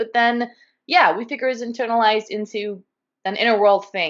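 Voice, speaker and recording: With a Californian accent, a woman talks fairly quickly in a fairly high pitch. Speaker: guest YouTuber discussing dissociative identity. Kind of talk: casual chat.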